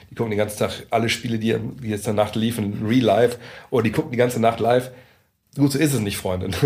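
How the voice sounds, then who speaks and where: A man talks at a very fast pace broken by long, frequent pauses, his voice somewhat breathy at medium pitch with fairly even intonation. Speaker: NBA journalist. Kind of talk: casual chat. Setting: meeting room in coworking space.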